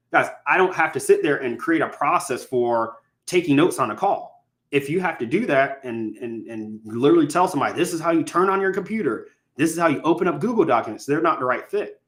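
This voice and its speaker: A man's high voice at a very fast pace. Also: lively intonation. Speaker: real estate investing coach. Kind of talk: live stream teaching. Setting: live stream. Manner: stutter.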